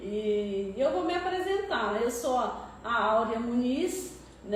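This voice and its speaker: A woman speaks at a high pitch with lively intonation. Both noticeable background noise and audible room echo are present. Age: 60s. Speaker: church member sharing testimony; public servant nearing retirement. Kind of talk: testimony.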